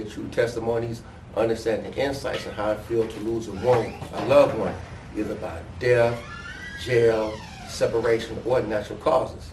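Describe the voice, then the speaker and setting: Amid noticeable background noise and audible room echo, a man speaks at a medium pitch and a fairly quick pace. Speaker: podcast host. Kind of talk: interview.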